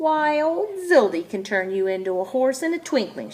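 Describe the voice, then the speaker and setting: Using a put-on character voice, a woman speaks at a moderate pace in a high, shrill register with very wide pitch swings. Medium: read story. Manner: lively, chirpy.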